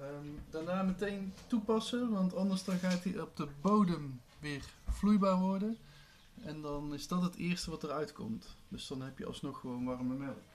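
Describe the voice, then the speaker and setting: This man has a high pitch and lively intonation. He speaks at a fairly slow pace. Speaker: video blogger; home drink demonstrator. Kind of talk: tutorial. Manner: casual, with frequent fillers. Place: kitchen. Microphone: camera far.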